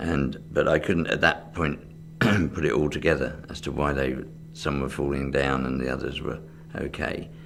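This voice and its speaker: In a southern English accent, a man with a very deep, low voice and vocal fry speaks at a moderate pace with fairly even intonation, and audible room echo is present. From England, Reading, Berkshire. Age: 60s. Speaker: magician. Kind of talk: interview. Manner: hesitant, with fillers.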